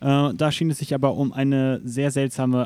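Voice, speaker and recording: This man talks at a moderate pace in a medium pitch, his tone dark and mellow, the sound dry and close with no echo on a very clean recording over a silent background. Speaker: gaming podcast host. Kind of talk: casual chat. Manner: news-anchor-like when reading aloud.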